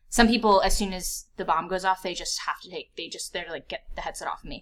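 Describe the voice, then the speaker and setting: The woman's tone is bright and sharp, with an American accent. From US, northern Virginia (DC suburbs). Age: 20s. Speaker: virtual reality content producer. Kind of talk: casual interview.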